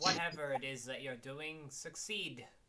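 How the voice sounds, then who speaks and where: Fairly high-pitched put-on character voice from a man, delivered at a moderate pace. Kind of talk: formal old-fashioned courtesy. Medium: actual play. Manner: polite, slightly stiff and formal.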